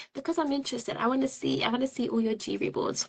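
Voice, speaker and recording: Very fast and animated, a woman speaks at a high pitch with very wide pitch swings and a bright, sharp tone. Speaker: project management coach. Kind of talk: online group coaching session.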